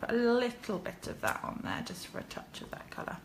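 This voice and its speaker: Through noticeable background noise and audible room echo, a woman speaks at a moderate pace. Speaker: card-making demonstrator. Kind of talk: crafting tutorial livestream. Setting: live video from her kitchen. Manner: chatty, hesitant with fillers.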